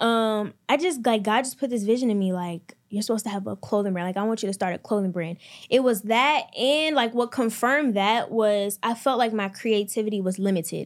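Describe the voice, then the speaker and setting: In a normal speaking voice, a woman with an American accent talks at a fairly quick pace with hardly any pauses, her fairly high pitch varying in an ordinary way, on a very clean recording with a silent background. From US, Maryland. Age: 20s. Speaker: entrepreneur and clothing brand owner. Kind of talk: casual interview.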